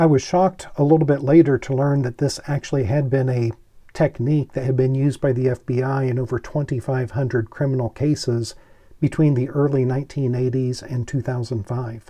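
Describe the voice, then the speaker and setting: Against a quiet background, a man speaks in a dark, mellow tone, somewhat breathy, with fairly even intonation. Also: moderate pace. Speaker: commentator on forensic science. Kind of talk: educational commentary. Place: office.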